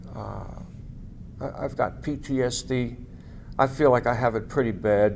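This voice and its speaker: Vocal fry in an American accent, with fairly even intonation and long, frequent pauses. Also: man, medium pitch for a man, moderate pace. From New York City, Staten Island. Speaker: war veteran. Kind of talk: oral history interview. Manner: halting, many fillers.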